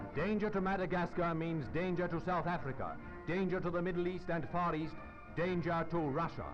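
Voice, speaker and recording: A man speaks in a dramatic tone with a high pitch, at a moderate pace and very even loudness. His intonation stays fairly even while music plays in the background. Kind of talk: 1940s wartime newsreel narration. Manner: formal, dramatic, authoritative.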